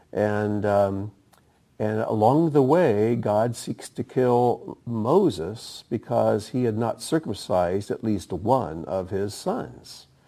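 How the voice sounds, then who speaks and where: Very slowly, a man with a fairly low, dark and mellow voice speaks with ordinary pitch variation. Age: 60s. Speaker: bible teacher. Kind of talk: bible teaching. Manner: hesitant, with fillers.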